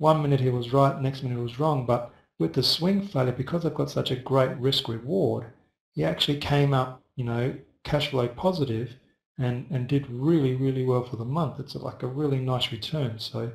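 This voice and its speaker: A man's somewhat breathy voice at a medium pitch, moderate in pace, with ordinary pitch variation. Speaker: forex trading educator. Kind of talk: live webinar tutorial. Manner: soft-spoken; casual with fillers.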